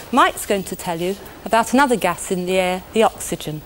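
Over light background noise, a woman talks at a moderate pace. She has a British accent and ordinary pitch variation. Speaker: chemistry presenter. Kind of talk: 1980s educational film narration. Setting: studio demonstration. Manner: warm, clear, measured teacher's delivery; simple, conversational explaining, direct address to 'you'. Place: studio.

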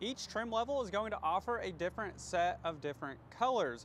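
A man talks at a fairly quick pace with lively intonation. The sound is dry with no echo, over light background noise. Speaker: car salesperson vlogger. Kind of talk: product walkthrough commentary. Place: street. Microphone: lapel.

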